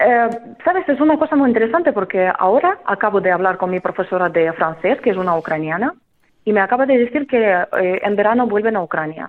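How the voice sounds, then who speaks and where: With a Ukrainian accent, a woman speaks at a fairly quick pace and medium pitch, her pitch swinging very widely while her loudness stays very even. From central Ukraine, Kremenchuk. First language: Ukrainian (speaking Spanish). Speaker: singer and refugee helper. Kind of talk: radio interview. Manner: hesitant, many fillers.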